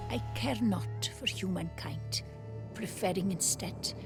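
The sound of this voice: Over loud music, a man does a put-on character voice at a medium pitch and a fairly slow pace.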